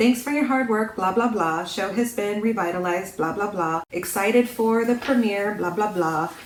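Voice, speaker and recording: Noticeable background noise accompanies a woman's voice. She speaks at a moderate pace with lively intonation. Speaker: book reviewer. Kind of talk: book review talk to camera. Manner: sarcastic.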